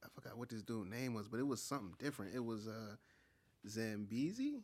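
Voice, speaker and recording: His pitch sits in the medium range and varies in an ordinary way. The man uses an ordinary speaking voice and keeps a moderate pace. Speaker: podcast co-host. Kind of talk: casual podcast interview.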